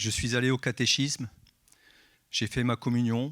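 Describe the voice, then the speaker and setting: A man at medium pitch and moderate pace, in a dry, close sound with no echo and a very clean recording with a silent background. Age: 60s. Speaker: church member giving baptism testimony. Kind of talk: testimony. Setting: church service.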